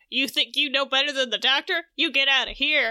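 A female-sounding put-on character voice shouts at a high pitch. The pace is fairly quick. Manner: angry, dismissive, shouting.

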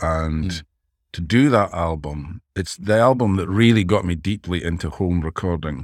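A man with a Dundee accent and a very deep, low pitch, ordinary pitch variation and a moderate pace, on a very clean recording with a silent background. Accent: Scottish (Dundee). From Scotland, Dundee. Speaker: songwriter and producer. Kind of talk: interview conversation.

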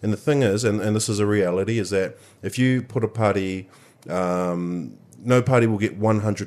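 A man speaks with a New Zealand accent at a fairly low pitch and moderate pace. His pitch variation is ordinary. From New Zealand, Manawatu. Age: 20s. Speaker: party official. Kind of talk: casual chat. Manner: halting.

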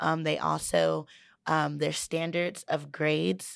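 On a very clean recording with a silent background, a woman talks fairly slowly. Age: 30s. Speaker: community college graduate. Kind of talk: casual chat.

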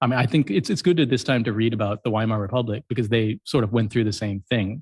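A man with an American accent, very fast pace, medium pitch, ordinary pitch variation, and a somewhat breathy voice, in a dry, close sound with no echo. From US Midwest, Columbus, Ohio. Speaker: writer and YouTuber. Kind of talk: interview conversation.

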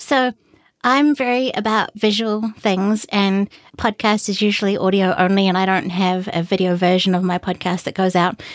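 With a New Zealand accent, a woman speaks at a moderate pace and medium pitch, her intonation fairly even and her loudness very even, in a very clean recording with a silent background. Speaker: independent podcaster. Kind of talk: casual interview.

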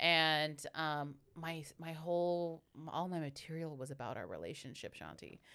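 A woman with an American accent and a very deep, low pitch, at a fairly slow pace, on a very clean recording with a silent background. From US West Coast, San Francisco Bay Area (Hayward). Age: 30s. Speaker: comedian. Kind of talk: casual chat.

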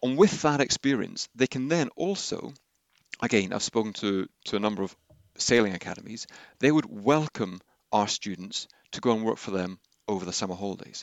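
A man with a southern English accent, fairly low in pitch, with lively intonation and a fairly quick pace. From southern England, Henley. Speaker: outdoor education director. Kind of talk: interview. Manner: halting.

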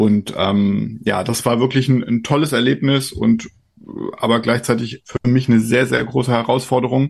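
An ordinary speaking voice at a moderate pace, with fairly even intonation and very even loudness. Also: man, medium pitch for a man. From Rhineland-Palatinate, Germany. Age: 40s. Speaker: trade association executive. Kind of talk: interview.

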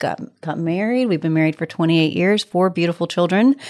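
A woman talks at a fairly quick pace in a plain, everyday voice, pitched fairly low. The recording is very clean with a silent background. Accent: American. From Texas, small town near Cold Spring. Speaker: women's workspace founder. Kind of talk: casual chat.

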